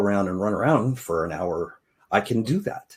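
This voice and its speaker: A plain, everyday voice at a fairly slow pace, on a very clean recording with a silent background. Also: man. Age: 60s. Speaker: podcast host, financial advisor. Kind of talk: podcast intro, personal story. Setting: live video podcast.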